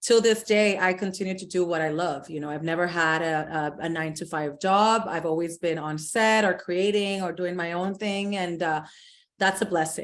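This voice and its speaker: A woman speaks in a Puerto Rican accent at a moderate pace. Her pitch is fairly low, and the background is quiet. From Puerto Rico, San Juan. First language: Spanish. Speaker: influencer and fashion entrepreneur. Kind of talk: podcast interview. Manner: animated.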